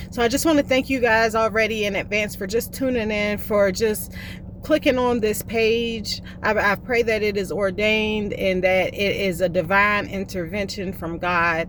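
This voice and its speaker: A woman with a Southern US accent talks at a moderate pace and a medium pitch, with ordinary pitch variation. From US South, South Carolina (Columbia). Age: 30s. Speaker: vlogger in addiction recovery. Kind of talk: personal testimony.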